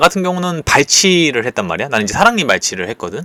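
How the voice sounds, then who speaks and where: A man with vocal fry and a bright, sharp tone speaks at a fairly high pitch in a dry, close sound with no echo, on a very clean recording with a silent background. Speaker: YouTuber sharing personal experience. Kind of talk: casual vlog monologue. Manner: informal, conversational.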